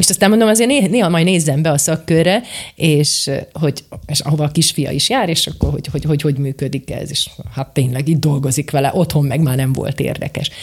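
Over noticeable background noise, a woman speaks very fast at a very deep, low pitch with ordinary pitch variation. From eastern Slovakia (Bodrogköz). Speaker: teacher and robotics coach. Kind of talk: interview.

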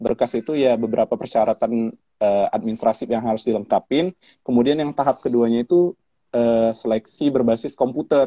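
A man's medium-pitched voice, with ordinary pitch variation, moves at a fairly quick pace. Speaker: civil servant, scholarship awardee. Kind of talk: casual interview.

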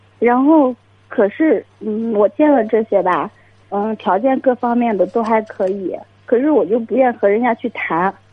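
Her voice fairly high, a woman speaks at a fairly slow pace with ordinary pitch variation. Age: 20s. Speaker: caller seeking dating advice. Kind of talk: call-in advice conversation. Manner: halting.

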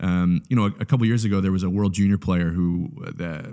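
On a very clean recording with a silent background, a man speaks at a very fast pace. His very deep, low voice has a dark, mellow tone and ordinary pitch variation. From Canada. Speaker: church communications specialist. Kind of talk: casual interview.

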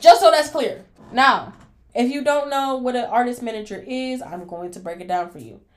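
A woman at a moderate pace, animated in tone. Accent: American. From Cleveland, Ohio. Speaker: podcast host and artist manager. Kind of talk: casual monologue rant. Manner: emphatic, animated.

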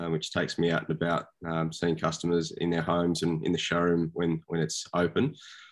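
On a very clean recording with a silent background, the speaker talks fairly quickly in an Australian accent. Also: man. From Sydney, Australia. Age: 40s. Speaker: small business owner. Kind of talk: interview.

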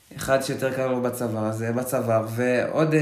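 A man talks at a very slow pace, and audible room echo surrounds his words. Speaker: hiker sharing trail experience. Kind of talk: casual interview chat.

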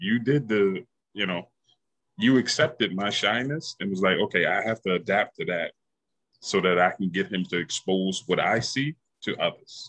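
A man with a New York accent, recorded dry and close with no echo. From Yonkers, New York. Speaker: podcast guest. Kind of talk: casual chat.

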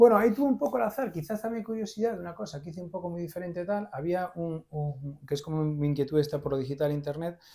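Speaking very fast, a man with a high pitch and a dark, mellow tone uses lively intonation and big swings in loudness. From Galicia, Spain (Vigo). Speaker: entrepreneur and investor. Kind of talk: interview. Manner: talkative.

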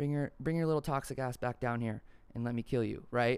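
In a very clean recording with a silent background, a man speaks in an animated tone at a medium pitch, with ordinary pitch variation and a moderate pace. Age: 20s. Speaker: podcast host. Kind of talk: casual solo monologue. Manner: loud.

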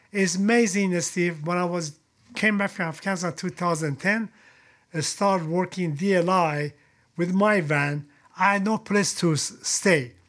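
A man with a high voice and ordinary pitch variation speaks at a moderate pace on a very clean recording with a silent background. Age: 70s. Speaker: retired special forces soldier. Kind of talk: casual interview. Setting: in-person studio. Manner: blunt and frank.

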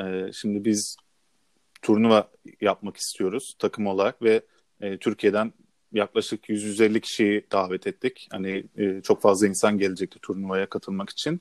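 The sound is dry and close with no echo. A man speaks at a fairly slow pace with fairly even intonation. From Istanbul, Turkey. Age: 20s. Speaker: university sports team coach. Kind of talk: podcast interview. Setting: remote recording. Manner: halting, many fillers.

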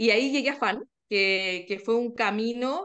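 A woman with a somewhat high voice and typical pitch movement talks against a quiet background. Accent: Chilean. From Chile. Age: 40s. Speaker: wellbeing podcaster, workshop participant. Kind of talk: interview conversation.

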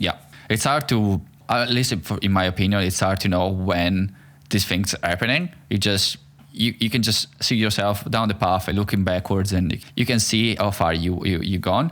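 A man's fairly low voice with an Italian accent, ordinary pitch variation and very even loudness at a moderate pace. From Italy. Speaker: podcast host. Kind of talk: casual interview conversation.

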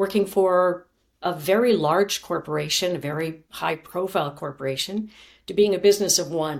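A woman's normal speaking voice, fairly low in pitch and at a moderate pace, in a very clean recording with a silent background. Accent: Canadian. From Canada. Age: 50s. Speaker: former journalist and communications coach. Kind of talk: interview.

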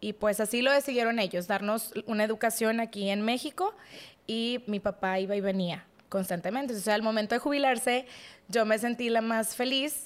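Heard in a very clean recording with a silent background, an ordinary speaking voice talks at a moderate pace with fairly even intonation. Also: woman. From Mexico, Monterrey. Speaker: podcast guest. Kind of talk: testimony.

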